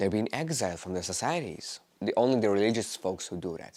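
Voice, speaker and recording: A man with a non-native accent and very wide pitch swings, on a very clean recording with a silent background. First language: not English. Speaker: vlogger. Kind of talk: personal monologue. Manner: halting.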